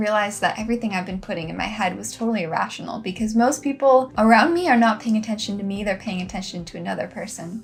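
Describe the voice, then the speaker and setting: A woman's fairly high-pitched voice with ordinary pitch variation, over music in the background. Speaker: lifestyle and wellness vlogger. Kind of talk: casual talk to camera, heart-to-heart reflection. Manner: soft-spoken, gentle.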